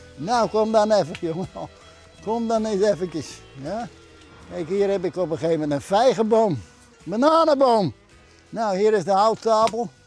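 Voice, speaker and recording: With music in the background, a man speaks at a moderate pace and high pitch, with lively intonation and long, frequent pauses. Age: 70s. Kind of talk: casual interview talk.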